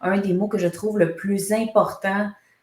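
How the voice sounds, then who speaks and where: The speech comes at a moderate pace with audible room echo. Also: woman. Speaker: HubSpot consultancy founder, webinar host. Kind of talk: webinar presentation.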